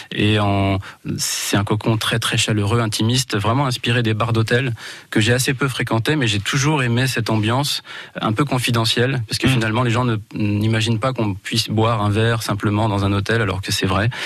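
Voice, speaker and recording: Speaking at a fairly quick pace, a man uses a normal speaking voice at medium pitch, with fairly even intonation and very even loudness. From Val d'Oise, France. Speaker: eco-lodge owner. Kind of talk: radio interview.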